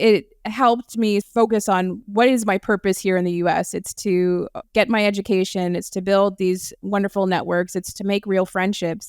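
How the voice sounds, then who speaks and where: A woman with a strong American accent speaks with monotone, flat intonation in a dry, close sound with no echo and a very clean recording with a silent background. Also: medium pitch for a woman, moderate pace. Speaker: entrepreneur, company CEO. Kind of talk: interview conversation.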